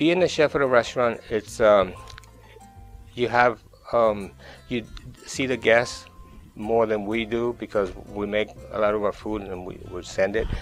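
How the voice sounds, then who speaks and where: With music in the background, a man in a Colombian accent speaks in a medium pitch at a fairly slow pace, leaving long, frequent pauses. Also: ordinary pitch variation. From Colombia, Caribbean coast (Barranquilla). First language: Spanish. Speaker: chef, catering company owner. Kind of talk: interview answer. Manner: soft-spoken, friendly.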